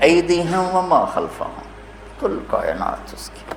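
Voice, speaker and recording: A man speaks over noticeable background noise. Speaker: Islamic preacher. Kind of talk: religious sermon. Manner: emotional, passionate.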